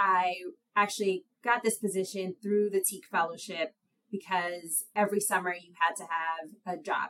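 A woman speaks with an American accent at a moderate pace. Her voice sits at a medium pitch, with a bright, sharp tone and fairly even intonation. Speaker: lawyer. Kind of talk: casual interview.

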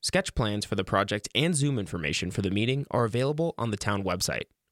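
In an ordinary speaking voice, a man talks at a fairly quick pace with a medium pitch and lively intonation, the sound dry and close with no echo on a very clean recording with a silent background. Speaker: radio newsreader. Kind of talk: news reading, scripted radio news brief. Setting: radio studio. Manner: formal, steady, even-paced; crisp and neutral.

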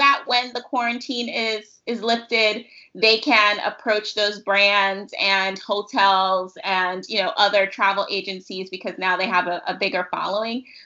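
A woman speaks in a normal speaking voice with an American accent. Her pitch is fairly high and her pace moderate. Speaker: podcast host. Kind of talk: casual interview chat.

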